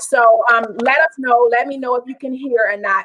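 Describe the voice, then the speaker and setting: A woman talks loudly in a high register. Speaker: talk show host. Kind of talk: interview. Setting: live stream.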